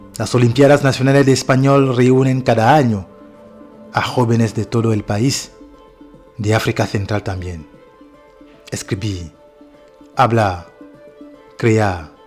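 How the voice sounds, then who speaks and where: Music plays behind a man who speaks very slowly at a medium pitch, with ordinary pitch variation and long, frequent pauses. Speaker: documentary narrator (voice-over). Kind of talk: documentary voice-over narration.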